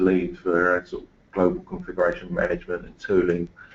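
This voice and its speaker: A man speaks with an English accent. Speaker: engineering manager. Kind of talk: webinar presentation. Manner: halting.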